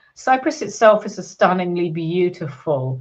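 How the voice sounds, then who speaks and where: A woman's medium-pitched voice in a British accent, with lively intonation. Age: 60s. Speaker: business psychologist. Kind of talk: podcast interview.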